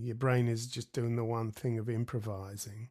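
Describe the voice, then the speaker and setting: Someone speaks with an Australian accent at a moderate pace. The recording is very clean, with a silent background. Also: man. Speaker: jazz guitarist. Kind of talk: interview.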